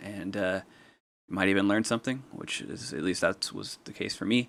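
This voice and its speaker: With an American accent, a man speaks at a moderate pace in a fairly low pitch, captured in a very clean recording with a silent background. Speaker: hobbyist appliance repairer. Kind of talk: tutorial. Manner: hesitant, many fillers.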